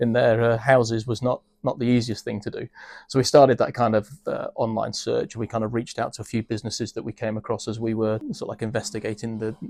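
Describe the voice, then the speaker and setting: Speaking with a British accent, a man talks at a medium pitch in a monotone, flat intonation, very fast and with hardly any pauses. The sound is dry and close, with no echo. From UK. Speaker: business executive. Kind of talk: interview. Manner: hesitant, many fillers.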